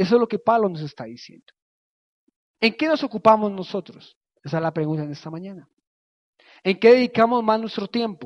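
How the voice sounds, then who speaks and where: The speech moves at a fairly quick pace. Long, frequent pauses break it up. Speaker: preacher. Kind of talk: sermon. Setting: church. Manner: earnest, teaching cadence with repeated phrases and direct appeals to the congregation.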